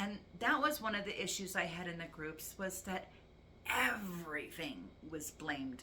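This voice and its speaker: A woman with a bright, sharp tone and lively intonation speaks at a fairly slow pace amid audible room echo. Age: 60s. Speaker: vlogger. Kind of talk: personal testimony vlog.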